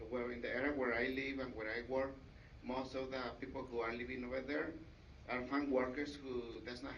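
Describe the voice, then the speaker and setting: Audible room echo surrounds a man speaking at a medium pitch and a moderate pace. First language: Mixteco. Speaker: community outreach worker. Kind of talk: public comment statement. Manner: halting.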